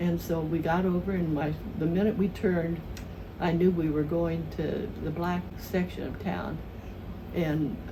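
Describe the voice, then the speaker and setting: Speaking at a fairly slow pace, a woman with a South Midland US accent uses a fairly low pitch. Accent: Southern Midland American. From southern Missouri. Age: 80s+. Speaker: retired elementary school teacher. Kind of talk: interview answer, reminiscing.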